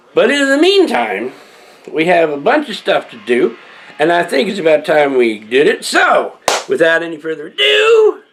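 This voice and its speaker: A man talks at a moderate speed. Background noise is noticeable throughout. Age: old. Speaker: video blogger. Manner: halting.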